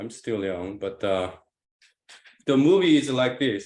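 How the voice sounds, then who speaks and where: In a very clean recording with a silent background, a man with a non-native accent speaks at a medium pitch. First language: not English. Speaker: discussion group participant. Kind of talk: philosophical group discussion. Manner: hesitant, many fillers.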